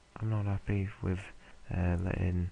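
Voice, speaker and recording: A man speaks at a moderate pace in a very deep, low pitch with monotone, flat intonation. His voice is somewhat breathy. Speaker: video game let's play creator. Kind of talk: casual gameplay commentary. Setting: home recording late at night. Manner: hesitant, many fillers.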